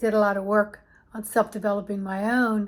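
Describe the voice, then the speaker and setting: A woman with a fairly high pitch and calm tone, at a fairly slow pace with fairly even intonation. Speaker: embodiment coach. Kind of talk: personal reflective monologue.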